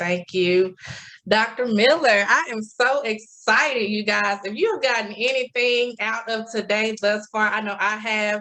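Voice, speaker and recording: A woman speaks in a Southern US accent with ordinary pitch variation. Her pitch is fairly high. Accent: Southern twang. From US South, Memphis, Tennessee. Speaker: club officer and session host. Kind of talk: event introduction. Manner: energetic.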